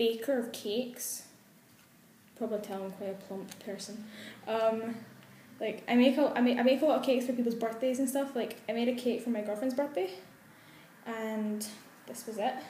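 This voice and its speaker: A woman speaks at a moderate pace in a high voice with a Glasgow accent. She leaves long, frequent pauses. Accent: Glasgow Scottish. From Glasgow, Scotland. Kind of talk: casual talk to camera.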